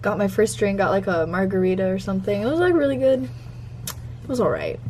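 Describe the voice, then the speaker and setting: Light noise sits in the background while a woman speaks fairly quickly. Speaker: vlogger. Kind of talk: casual vlog chat. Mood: excited, upbeat. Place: home room. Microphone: phone near.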